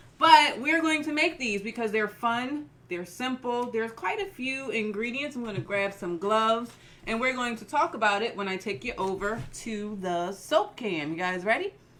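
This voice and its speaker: With an American accent and lively intonation, a woman with a fairly high pitch talks at a moderate pace over noticeable background noise. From US, Philadelphia. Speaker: soap maker and craft teacher. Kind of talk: live-stream tutorial. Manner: casual, chatty.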